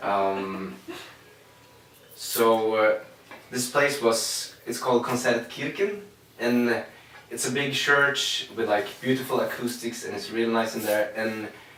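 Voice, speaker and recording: Amid noticeable background noise and audible room echo, a man speaks at a very slow pace with long, frequent pauses and ordinary pitch variation. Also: medium pitch for a man. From Sweden, Linköping. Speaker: singer-songwriter. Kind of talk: interview. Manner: halting.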